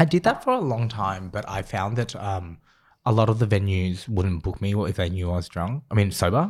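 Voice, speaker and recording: A man speaks at a moderate pace in a plain, everyday voice, his pitch varying in an ordinary way, on a very clean recording with a silent background. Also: fairly low pitch for a man. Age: 20s. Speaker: podcast co-host, former DJ. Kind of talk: casual chat.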